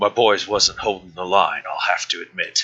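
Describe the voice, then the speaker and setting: A man uses a raspy, put-on character voice. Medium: actual play. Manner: crude, taunting, refers to himself in third person.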